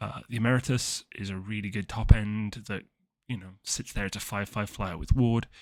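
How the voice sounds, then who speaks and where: A man with an unremarkable speaking voice, fairly low pitch, fairly even intonation and moderate pace, in a very clean recording with a silent background. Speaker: card game content creator. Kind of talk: deck tech tutorial. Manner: many fillers and false starts.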